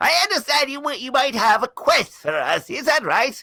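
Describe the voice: In a put-on character voice, the speaker talks at a high pitch and a moderate pace.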